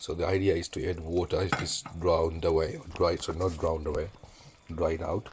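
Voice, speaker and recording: This is a man talking. His intonation stays fairly even. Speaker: home cook. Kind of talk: cooking tutorial. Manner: casual.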